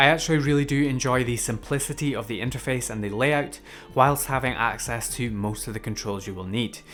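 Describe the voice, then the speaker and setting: A man in a Scottish accent talks at a fairly quick pace with ordinary pitch variation as music plays in the background. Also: medium pitch for a man. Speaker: tech reviewer. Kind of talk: product review.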